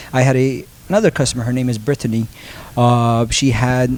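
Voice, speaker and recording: A man talks at a moderate pace with a Turkish accent. His pitch sits in the medium range, and his intonation stays fairly even. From Turkey, Istanbul. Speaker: transfer printing business owner. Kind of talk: podcast interview. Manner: hesitant, many fillers.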